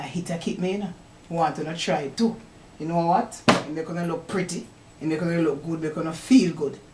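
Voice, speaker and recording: With a Jamaican accent, a woman speaks at a fairly quick pace and fairly low pitch. Noticeable background noise sits behind her. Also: ordinary pitch variation. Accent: Jamaican Patois. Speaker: poet. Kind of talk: casual talk to camera. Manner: upbeat.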